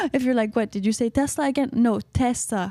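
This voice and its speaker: Noticeable background noise sits behind a woman's voice. She sounds animated, her pitch high with ordinary variation. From Canada. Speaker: podcaster and YouTuber. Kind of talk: casual solo podcast monologue. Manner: animated, chatty with frequent uh-huh and mm-hmm fillers.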